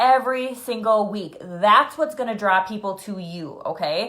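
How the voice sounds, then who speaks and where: This woman has an unremarkable speaking voice. Her pitch is fairly high and varies in an ordinary way. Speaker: fitness business coach leading team training. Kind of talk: live video training for new coaches. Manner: casual, filler-heavy.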